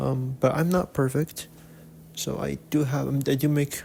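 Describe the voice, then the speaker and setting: A man's somewhat breathy voice at medium pitch, with fairly even intonation. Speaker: webcomic artist and YouTuber. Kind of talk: casual vlog talk to camera. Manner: halting, with many repeats and fillers.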